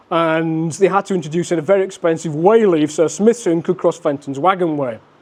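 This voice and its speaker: This man has a high voice and a Yorkshire accent, with ordinary pitch variation. He talks at a moderate pace. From West Yorkshire, England (Wakefield). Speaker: railway historian. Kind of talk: lecture.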